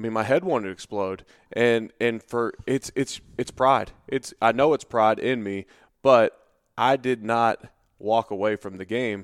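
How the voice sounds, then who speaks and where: On a very clean recording with a silent background and a dry, close sound with no echo, a man speaks fairly slowly at medium pitch with ordinary pitch variation. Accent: American. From Cincinnati, Ohio, US. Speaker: podcast host, former NFL player. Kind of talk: casual podcast interview.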